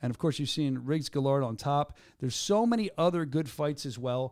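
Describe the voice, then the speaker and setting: Talking at a very fast pace with a Philadelphia accent, a man has a fairly high pitch and lively intonation on a very clean recording with a silent background. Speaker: combat sports show host. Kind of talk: casual chat. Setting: studio. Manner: animated.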